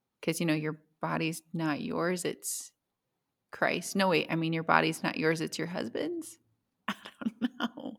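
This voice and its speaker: Using vocal fry and lively intonation, a woman with a fairly low pitch speaks at a fairly slow pace with long, frequent pauses. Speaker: podcast host. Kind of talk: casual chat.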